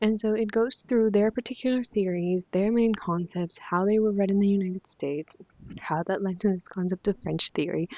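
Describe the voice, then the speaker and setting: A woman with a Spanish accent talks at a moderate pace, with medium pitch and ordinary pitch variation. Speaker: book vlogger. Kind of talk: casual chat. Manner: animated; hesitant, many fillers.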